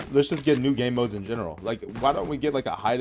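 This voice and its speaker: An American-accented male voice, its pitch varying in an ordinary way. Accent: American, noticed by other players. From United States. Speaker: gaming streamer. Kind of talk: gameplay commentary. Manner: casual, many fillers.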